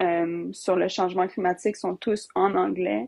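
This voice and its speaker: Her medium-pitched voice comes across dry and close with no echo, a woman speaking. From Alberta, Canada. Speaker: youth climate activist. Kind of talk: casual interview chat.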